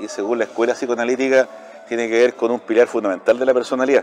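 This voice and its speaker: Noticeable background noise sits behind the speech. A man talks at a medium pitch. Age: 60s. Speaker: chess player and university lecturer. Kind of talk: casual interview chat.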